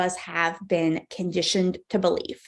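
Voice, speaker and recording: An animated tone in an American accent comes over a quiet background. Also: woman. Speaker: parenting coach. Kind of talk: live webinar keynote. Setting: online livestream with chat.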